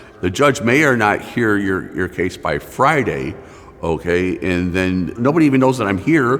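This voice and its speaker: Over noticeable background noise, a man with an American accent speaks at a fairly low pitch and a moderate pace, his pitch swinging very widely. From Michigan. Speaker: community advocate. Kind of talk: testimony. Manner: halting.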